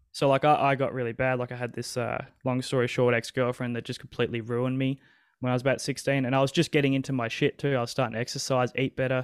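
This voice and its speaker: Speaking very fast in a flat monotone, a man with an Australian accent and a medium pitch sounds dry and close, with no echo. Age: 20s. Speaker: guest sharing personal phobia story. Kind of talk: casual chat. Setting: video call.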